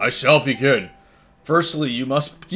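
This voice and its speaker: A man puts on a raspy character voice with a fairly high pitch. He speaks at a fairly slow pace with ordinary pitch variation. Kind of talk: mock-solemn comic reading. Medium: game stream. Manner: formal, measured.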